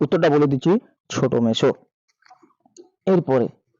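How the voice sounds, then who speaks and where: A man's dark, mellow voice comes across in a dry, close sound with no echo. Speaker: teacher. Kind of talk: tutorial.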